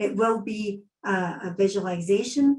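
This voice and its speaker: In a Scottish accent, the speaker has a dark, mellow tone, a somewhat breathy quality and ordinary pitch variation. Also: woman. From Scotland. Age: 60s. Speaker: psychic medium. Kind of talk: online event talk.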